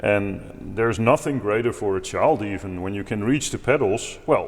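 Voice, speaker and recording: A man with a Dutch accent speaks at a moderate pace and medium pitch, his intonation lively. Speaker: organist and improvisation teacher. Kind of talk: tutorial. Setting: at a pipe organ.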